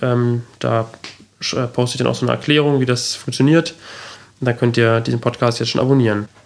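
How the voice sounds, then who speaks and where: With a normal speaking voice, a man holds a medium pitch and fairly even intonation. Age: 20s. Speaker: podcast host. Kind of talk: solo introduction monologue.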